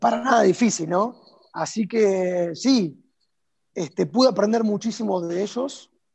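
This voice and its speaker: A high-pitched man with an Argentine accent, ordinary pitch variation and a fairly slow pace. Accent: Argentine Spanish (Rioplatense). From Argentina. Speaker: tango dancer and teacher. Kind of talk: interview. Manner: halting, repeats words.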